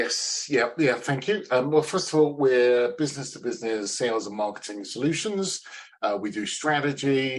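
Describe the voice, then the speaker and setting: Upbeat in tone, a man speaks with a British accent. His pitch sits at a medium level. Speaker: sales consultant. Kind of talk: interview. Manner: halting, many fillers.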